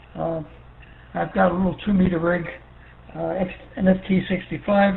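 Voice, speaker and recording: A man with a New York accent talks at a fairly quick pace in a high voice, his intonation fairly even. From New York City. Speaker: ham radio operator, Air Force veteran. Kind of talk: radio net check-in chat. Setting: ham radio via repeater.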